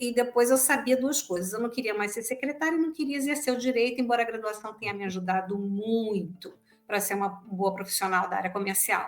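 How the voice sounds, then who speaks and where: At a fairly quick pace, an unremarkable speaking voice carries lively intonation. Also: woman. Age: 60s. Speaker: sales professional and trainer. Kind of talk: podcast interview.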